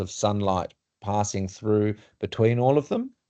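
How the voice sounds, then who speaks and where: A man with an Australian accent, medium in pitch, fairly even in intonation, at a moderate pace against a quiet background. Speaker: urban designer presenting to client. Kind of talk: work meeting presentation.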